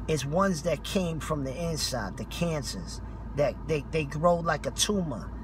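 A man at a fairly slow pace, dry with no echo, over noticeable background noise. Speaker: street preacher. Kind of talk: street preaching rebuttal, impassioned sermon. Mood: indignant, scolding. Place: car. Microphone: phone near.

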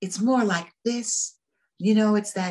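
A breathy, female-sounding put-on character voice sits at a medium pitch. It moves at a fairly slow pace.

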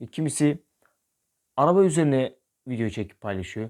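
With lively intonation, a man speaks at a medium speed. The background is silent and the recording very clean. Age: 20s. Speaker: YouTuber. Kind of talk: vlog monologue.

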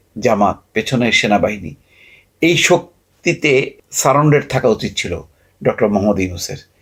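A man talks at medium pitch, somewhat breathy. His pitch swings very widely. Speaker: political commentator. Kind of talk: political commentary monologue.

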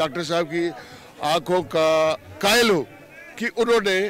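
A man talks with ordinary variation in pitch. The sound is dry with no echo, over light background noise. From Jammu region, India; India. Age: 60s. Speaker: local resident. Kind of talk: vox pop interview. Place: waterside. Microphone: handheld.

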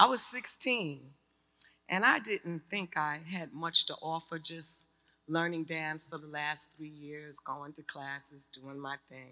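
A woman speaks at a very slow pace in a New York accent, her pitch very deep and low. Her loudness swings widely against a quiet background. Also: ordinary pitch variation. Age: 60s. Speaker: artist and community advocate. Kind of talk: personal testimony speech. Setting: stage with audience. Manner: animated. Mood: personal, earnest storytelling. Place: hall. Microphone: podium.

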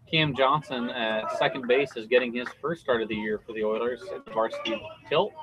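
A man speaks in an animated tone. Noticeable background noise can be heard. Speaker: play-by-play announcer. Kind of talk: live sports commentary, play-by-play. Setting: broadcast booth at a baseball game. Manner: fast, fluent, animated play-by-play delivery with clipped pitch-by-pitch calls. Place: stadium.

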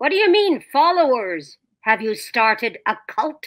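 At a moderate pace, a woman puts on a character voice pitched high, with very wide pitch swings. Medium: voice reel. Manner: warm, affectionate.

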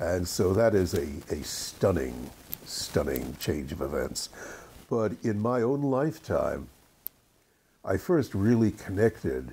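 A man with an American accent speaks at a very slow pace in a fairly low pitch, his dark, mellow tone carrying vocal fry, very wide pitch swings, and long, frequent pauses. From England, raised in the USA. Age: 80s+. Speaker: screenwriter. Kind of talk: interview answer.

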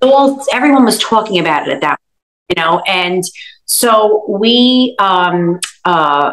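A woman at a very slow pace with lively intonation, over a quiet background. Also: medium pitch for a woman. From Brooklyn, New York; New York. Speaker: food blogger. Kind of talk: interview answer. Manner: casual, conversational. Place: kitchen. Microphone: video call.

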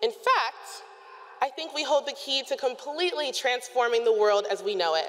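With an American accent, a woman talks at a moderate pace in a high pitch, with very wide pitch swings. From Illinois. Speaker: student speaker. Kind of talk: student commencement speech. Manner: earnest, reflective. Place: stadium. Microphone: podium.

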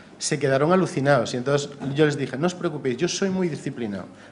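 A man talks at a fairly quick pace in a fairly high voice, with light background noise behind him. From Galicia, Spain (A Coruña); Galicia, Spain. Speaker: cultural journalist. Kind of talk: talk at a seminar. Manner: fast. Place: hall. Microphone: podium.

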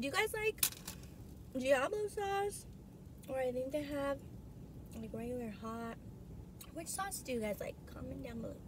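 Speaking at a moderate pace with long, frequent pauses, a woman with a high pitch is heard in a dry recording with no echo but noticeable background noise. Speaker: food vlogger. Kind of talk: casual vlog chat. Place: car. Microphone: phone near.

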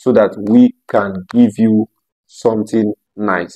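A man speaks at a very slow pace in a dark, mellow tone. His pitch variation is ordinary, and the background is quiet. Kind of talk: promotional talk to camera. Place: home room. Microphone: lapel.

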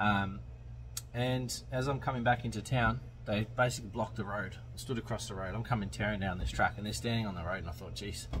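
Over background music, a man talks at a fairly quick pace. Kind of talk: casual vlog chat, storytelling. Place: car. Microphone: phone near.

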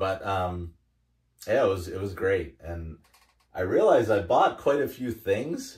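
A man with a very deep, low pitch speaks in a somewhat breathy voice. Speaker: hobby vlogger. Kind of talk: casual vlog chat. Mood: cheerful, laughing. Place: home room.

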